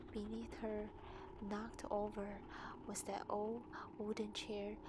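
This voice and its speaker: Someone with a non-native accent speaks at a fairly slow pace. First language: not English. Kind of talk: scary story narration, ASMR. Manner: soft, quiet, whispery.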